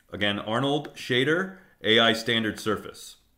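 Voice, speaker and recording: A man talks with ordinary pitch variation, and room echo can be heard. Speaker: teacher. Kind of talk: lecture. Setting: live stream.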